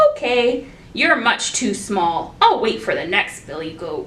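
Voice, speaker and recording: A put-on character voice at a fairly slow pace against clear background noise. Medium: read story. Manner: gruff, threatening.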